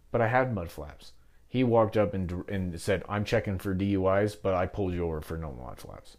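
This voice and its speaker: Against a silent background on a very clean recording, a man with an American accent speaks at a moderate pace. He has an unremarkable speaking voice, fairly low in pitch, with ordinary pitch variation. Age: 20s. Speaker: entrepreneur, metal fabrication business owner. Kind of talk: interview, personal life story.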